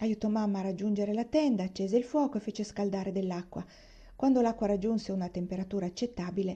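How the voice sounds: A natural reading voice.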